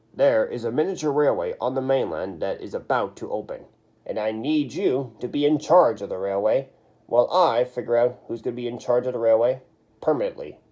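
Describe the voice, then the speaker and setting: A man puts on a character voice at a medium pitch. He speaks at a fairly quick pace. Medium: read story. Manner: authoritative.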